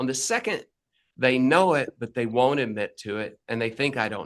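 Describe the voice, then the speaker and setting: This man speaks in an unremarkable speaking voice at medium pitch, keeping a moderate pace with ordinary pitch variation while his loudness swings widely. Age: 60s. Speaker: business coach and plumbing business owner. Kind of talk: interview.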